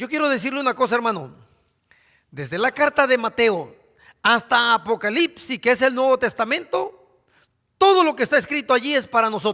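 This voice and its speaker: Raised and projected, a man's extremely high, bright, sharp voice moves at a moderate pace with lively intonation, dry and close with no echo on a very clean recording with a silent background. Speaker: pastor. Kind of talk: sermon.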